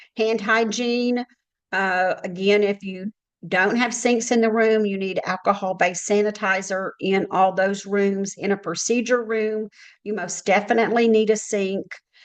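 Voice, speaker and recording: A woman's medium-pitched voice, monotone and flat, at a moderate pace. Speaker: healthcare compliance consultant. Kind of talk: webinar presentation. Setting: online webinar.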